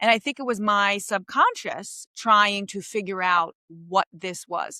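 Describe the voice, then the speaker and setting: A woman speaks in a Queens accent at a fairly slow pace, her tone animated, bright and sharp with ordinary pitch variation. The sound is dry and close with no echo, on a very clean recording with a silent background. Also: medium pitch for a woman. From New York City, Queens. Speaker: comedian. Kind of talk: podcast interview.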